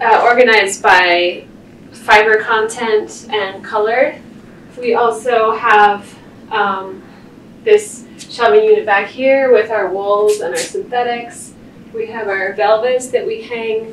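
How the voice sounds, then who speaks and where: A woman speaks at a very slow pace with fairly even intonation. Audible room echo and light background noise are present. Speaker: costume shop staff guide. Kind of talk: guided tour explanation. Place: shop. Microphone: camera far.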